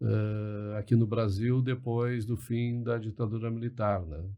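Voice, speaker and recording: A man speaks at a fairly slow pace in a flat monotone. His tone is dark and mellow. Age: 60s. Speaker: liberal commentator, podcast guest. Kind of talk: podcast interview. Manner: hesitant, many fillers and repetitions.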